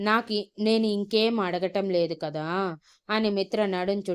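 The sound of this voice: An unforced reading voice is heard. The reading comes out easily.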